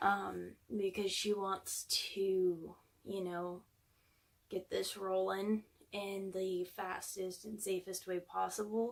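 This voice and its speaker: A woman speaks at medium pitch and a very slow pace, monotone and flat, with long, frequent pauses. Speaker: vlogger. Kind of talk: personal vlog.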